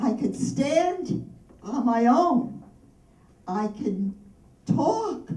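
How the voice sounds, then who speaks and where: A high-pitched woman's voice at a very slow pace, with very wide swings in pitch. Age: 80s+. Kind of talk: birthday speech. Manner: warm, heartfelt.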